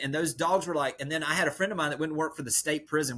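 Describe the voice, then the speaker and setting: A man with a Southern US accent and a fairly high pitch. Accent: Southern rural. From rural US South. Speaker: real estate coach. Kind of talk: podcast interview. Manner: animated.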